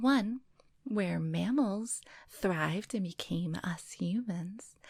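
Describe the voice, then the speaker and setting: Soft-spoken and somewhat breathy, a woman talks at a very slow pace with medium pitch. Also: lively intonation. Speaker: storyteller / ASMR reader. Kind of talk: reading aloud. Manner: not whispering.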